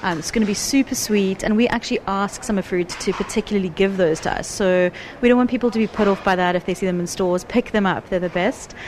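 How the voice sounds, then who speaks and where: Noticeable background noise runs under a woman speaking at a medium pitch. She goes very fast with hardly any pauses and fairly even intonation. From South Africa. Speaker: food magazine content director. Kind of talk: casual chat.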